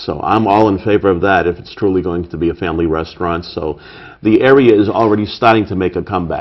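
With a Boston accent, a man speaks at a fairly low pitch. His pitch variation is ordinary. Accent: Boston-area Massachusetts. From Brockton, Massachusetts. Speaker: city council candidate. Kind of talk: interview. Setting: studio.

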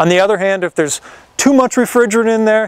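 The recording of this man has a dry sound with no echo. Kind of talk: explainer tutorial. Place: garden.

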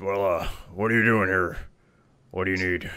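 A man's gruff put-on character voice, fairly low in pitch, at a moderate pace with monotone, flat intonation. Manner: gruff, curt.

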